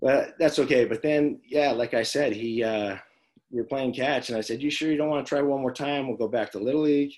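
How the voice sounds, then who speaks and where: A man's unremarkable speaking voice with an American accent, medium pitch, fairly even intonation and a fairly quick pace. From Las Vegas, Nevada. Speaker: former pro baseball player and high school coach. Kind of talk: casual interview chat.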